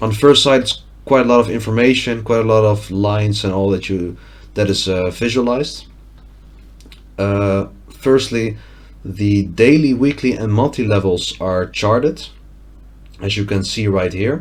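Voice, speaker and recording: Long, frequent pauses break up the speech of a man with a Dutch accent and a fairly low voice. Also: ordinary pitch variation, moderate pace. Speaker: trading analyst. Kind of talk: tutorial. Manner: halting.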